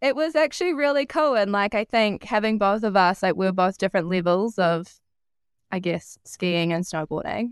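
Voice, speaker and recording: A woman with an ordinary speaking voice talks at a medium pitch and a moderate pace with lively intonation. The sound is dry and close with no echo, against a quiet background. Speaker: podcast host. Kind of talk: casual chat.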